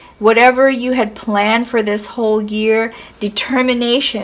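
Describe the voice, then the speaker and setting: Fairly slow speech from a woman with a fairly high pitch, over noticeable background noise. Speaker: tarot reader. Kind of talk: tarot reading. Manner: hesitant, many fillers.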